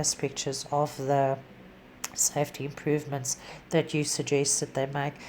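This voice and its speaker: A woman speaks with a non-native accent. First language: not English. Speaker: animal rescue volunteer. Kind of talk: tutorial. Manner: halting.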